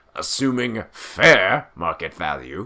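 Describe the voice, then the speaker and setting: Putting on a rumbling character voice, a man speaks at medium pitch and a fairly slow pace. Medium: read story. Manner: grumbling, sour.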